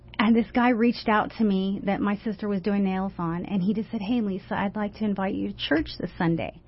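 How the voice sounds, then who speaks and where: Speaking at a fairly quick pace, a woman with an American accent sounds somewhat breathy. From US West Coast, San Francisco Bay Area. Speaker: author and anti-trafficking advocate. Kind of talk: personal testimony in a radio interview. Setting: radio studio.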